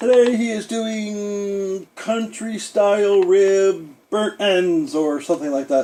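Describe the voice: A put-on character voice with fairly high pitch moves at a fairly slow pace, with hardly any pauses.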